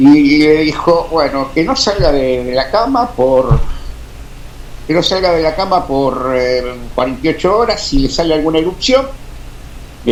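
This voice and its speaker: Through noticeable background noise and audible room echo, a man with a fairly high pitch talks at a moderate pace with lively intonation. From Argentina, Beccar (Buenos Aires province). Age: 60s. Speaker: amateur radio operator. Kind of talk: interview storytelling. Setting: radio studio, live stream. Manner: halting, many fillers.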